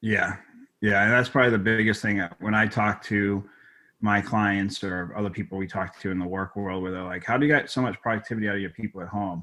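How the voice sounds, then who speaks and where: Very clean with a silent background, the recording holds a man with a slight Boston accent and fairly low pitch. His intonation is fairly even and his pace fairly quick. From Boston, Massachusetts. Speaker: tech company executive. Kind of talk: interview.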